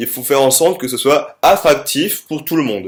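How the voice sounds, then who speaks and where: This man's pitch sits fairly high, and he keeps a moderate pace. The recording is very clean with a silent background. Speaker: middle school teacher. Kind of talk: recorded lesson. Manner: hesitant with many fillers.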